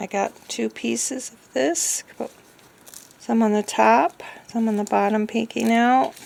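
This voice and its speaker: A woman speaks at a fairly slow pace, her loudness swinging widely from moment to moment. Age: 60s. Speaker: craft vlogger. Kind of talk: tutorial; casual chat. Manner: halting.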